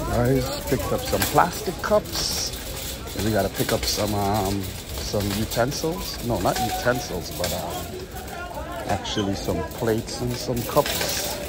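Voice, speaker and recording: Loud background noise surrounds a man speaking at a fairly slow pace in a dry sound with no echo. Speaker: delivery driver vlogger. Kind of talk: casual vlog chat. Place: shop. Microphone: phone near.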